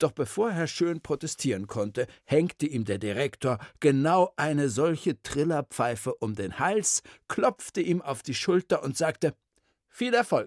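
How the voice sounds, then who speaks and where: In a very clean recording with a silent background, the words come at a fairly slow pace. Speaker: storyteller. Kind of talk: reading aloud.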